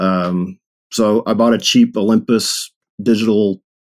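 A man speaks with a Texan accent. His pitch sits fairly low. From East Texas (Longview). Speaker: web developer and street photographer. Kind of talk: casual interview chat.

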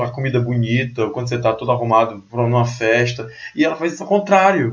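At a very fast pace, this man's voice comes out somewhat breathy. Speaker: podcast host. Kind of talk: casual chat. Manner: soft-spoken.

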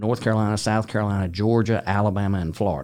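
A man's normal speaking voice at a fairly low pitch and fairly quick pace, with ordinary pitch variation, on a very clean recording with a silent background. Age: 60s. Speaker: sales executive. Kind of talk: interview. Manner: conversational, with frequent fillers.

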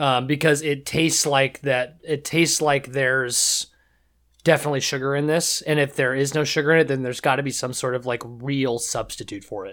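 On a very clean recording with a silent background, a man with a West Coast accent talks at a fairly quick pace, his fairly high voice keeping a fairly even intonation. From US Pacific Northwest, Seattle. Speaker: podcast guest. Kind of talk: casual chat.

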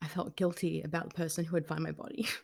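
A woman talks with an Australian accent. The recording is very clean, with a silent background. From Australia, New South Wales south coast. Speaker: journalist and author. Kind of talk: interview.

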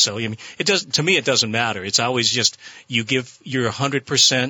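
A man talks at a fairly quick pace in a normal speaking voice. His pitch varies in an ordinary way. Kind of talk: ring announcer parody.

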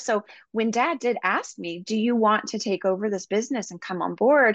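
Against a quiet background, a woman speaks fairly quickly at a fairly high pitch in an unremarkable speaking voice with ordinary pitch variation. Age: 40s. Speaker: wellness coach and business founder. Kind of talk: interview.

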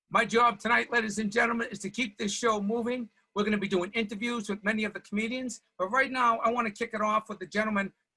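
A man with a high, bright, sharp voice projects it loudly in a monotone, flat intonation. He speaks at a very fast pace with hardly any pauses. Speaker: comedian and show host. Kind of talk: live comedy tribute show hosting. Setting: video call.

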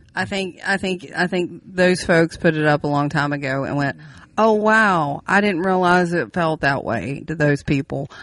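A woman speaks with an Appalachian accent. Her pitch is fairly low, and the background is quiet. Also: ordinary pitch variation, moderate pace. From West Virginia. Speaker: podcast co-host. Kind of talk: casual chat.

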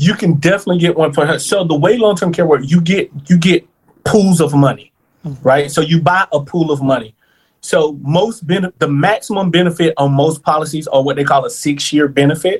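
Using an ordinary speaking voice, a man speaks at a fairly high pitch with ordinary pitch variation. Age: 30s. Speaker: long-term care insurance planner. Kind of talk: interview.

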